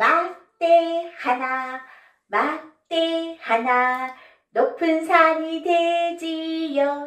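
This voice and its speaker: A raised, projected voice moves at a very slow pace. Music plays in the background, and room echo is audible. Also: woman. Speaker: children's storyteller teacher. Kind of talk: children's finger play and puppet storytelling. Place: studio.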